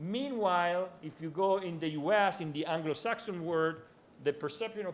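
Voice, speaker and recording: A man speaks with an Italian accent. Room echo is audible. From Italy. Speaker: conference speaker, researcher. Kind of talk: conference presentation. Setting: conference with audience. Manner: halting, many fillers; fast.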